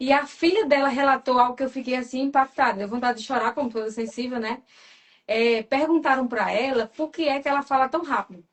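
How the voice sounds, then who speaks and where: A woman with a high voice talks at a fairly quick pace, with ordinary pitch variation. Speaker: personality temperament coach. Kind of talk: live stream talk. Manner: fast.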